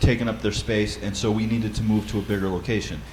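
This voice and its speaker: Over noticeable background noise and audible room echo, a man with a fairly low pitch talks at a very fast pace. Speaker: church Bible study leader. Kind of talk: seminar talk.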